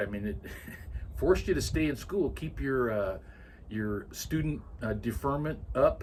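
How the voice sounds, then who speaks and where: With an American accent, a man speaks in a somewhat breathy voice at a fairly slow pace. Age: 70s. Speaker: grandfather interviewed about his life. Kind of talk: oral history interview. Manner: hesitant, many filler words.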